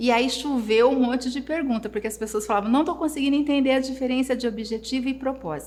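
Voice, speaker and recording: Her ordinary speaking voice is fairly high for a woman, with lively intonation. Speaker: therapist. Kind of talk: live online class. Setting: livestream.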